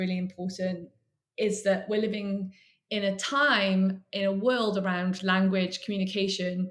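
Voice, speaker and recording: Somewhat breathy and with a Welsh accent, the speaker moves at a moderate pace with fairly even intonation. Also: woman. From Wales. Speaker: author and literary agent. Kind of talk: interview.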